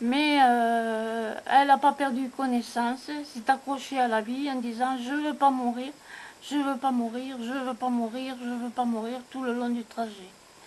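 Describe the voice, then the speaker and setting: A woman speaks in a high pitch with monotone, flat intonation. She talks at a fairly slow pace. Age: 70s. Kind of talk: personal family memoir told to camera.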